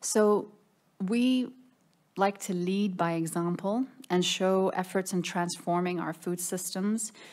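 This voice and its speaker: A woman at a very slow pace with fairly even intonation. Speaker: government minister. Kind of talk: conference presentation. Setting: conference room with audience. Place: meeting room. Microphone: podium.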